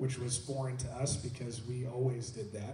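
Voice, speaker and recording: Light background noise and audible room echo. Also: man. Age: young. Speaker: worship pastor. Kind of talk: church panel discussion. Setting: church. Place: church.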